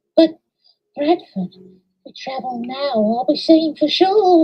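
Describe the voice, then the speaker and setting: A put-on character voice sounds female and sits at a high pitch. It moves at a fairly slow pace. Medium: read story.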